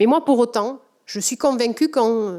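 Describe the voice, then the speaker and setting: In a strong southwestern French accent, a woman speaks at a moderate pace with ordinary pitch variation on a very clean recording with a silent background. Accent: thick southwestern French. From southwest France, Comminges in the Pyrenees. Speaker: politician, award recipient. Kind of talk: acceptance speech. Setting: award ceremony with audience. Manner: halting, many filler hesitations.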